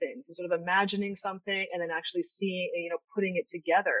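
A Canadian accent in a dry, close sound with no echo. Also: woman. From Canada, Niagara region of Ontario. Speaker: tech startup founder and former architect. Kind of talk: interview. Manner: halting, many fillers.

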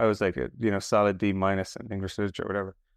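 At a very fast pace, a man speaks in an Irish accent, the sound dry and close with no echo against a quiet background. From Ireland. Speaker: podcast host. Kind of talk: interview.

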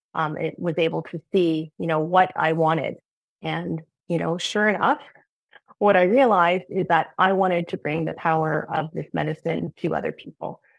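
An ordinary speaking voice goes at a moderate pace with fairly even intonation. The sound is dry and close with no echo. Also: woman, fairly low pitch for a woman. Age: 40s. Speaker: program alumna and psychedelic coach. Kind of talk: testimony. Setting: video call.

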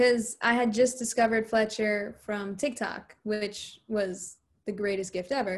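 A woman with a normal speaking voice talks at a fairly slow pace and a fairly high pitch, with fairly even intonation. The background is quiet. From US Northeast, New Jersey. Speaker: musician. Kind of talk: interview. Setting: video call.

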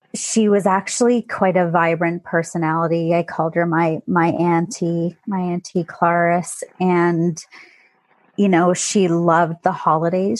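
An ordinary speaking voice in a Canadian accent moves at a fairly slow pace with fairly even intonation. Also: woman. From southwestern Ontario, Canada. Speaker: life coach. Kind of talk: interview testimony.

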